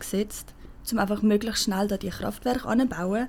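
The speaker is a woman. Her pitch is fairly high. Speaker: climate activist. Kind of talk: casual interview.

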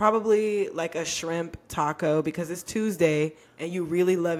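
A woman's fairly low-pitched, ordinary speaking voice, with ordinary pitch variation at a moderate pace. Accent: American. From Texas. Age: 20s. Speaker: podcast co-host. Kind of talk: casual chat.

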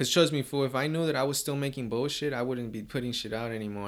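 Here a man talks at a medium pitch. His intonation is fairly even. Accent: American. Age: 20s. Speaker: amateur rapper. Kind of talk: casual chat.

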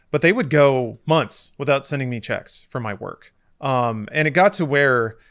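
At a moderate pace, a man with a normal speaking voice talks in a fairly high pitch, varying it in an ordinary way. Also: very clean recording, silent background. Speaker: podcast host. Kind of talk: casual chat.

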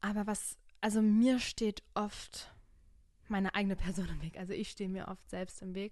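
This woman has a medium pitch and speaks at a moderate pace. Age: 20s. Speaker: podcast host. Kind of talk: casual chat. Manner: animated.

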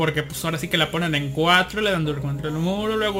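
A man with a Mexican accent, high-pitched for a man, at a fairly quick pace with ordinary pitch variation over noticeable background noise. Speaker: podcast host. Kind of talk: casual chat. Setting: online live broadcast.

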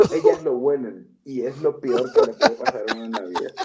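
Lively intonation and an animated tone mark this man's speech. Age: 40s. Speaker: comedian and chef. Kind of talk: casual chat.

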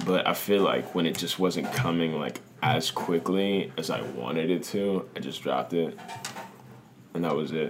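Over noticeable background noise, a man with an American accent speaks in a very deep, low voice. His pace is moderate, with ordinary pitch variation. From US, Washington DC / Maryland area. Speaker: rapper. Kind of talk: casual chat.

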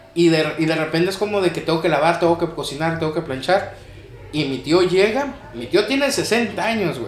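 The speaker uses lively intonation at a moderate pace, with audible room echo and noticeable background noise. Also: man, high pitch for a man. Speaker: podcast co-host and lightsaber combat instructor. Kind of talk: casual chat.

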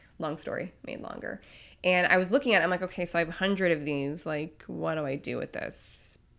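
Speech comes at a very fast pace with an animated tone and ordinary pitch variation. The recording is very clean with a silent background. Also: woman. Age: 30s. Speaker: pastry chef. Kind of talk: casual chat. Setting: studio.

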